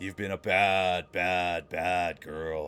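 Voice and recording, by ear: A man puts on a growling character voice, very deep and low in pitch. His intonation stays monotone and flat.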